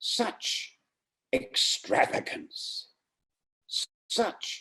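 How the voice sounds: Very slowly, a man talks with a slightly husky edge.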